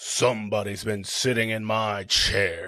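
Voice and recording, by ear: A gruff, put-on character voice from a man, fairly low in pitch and fairly slow in pace.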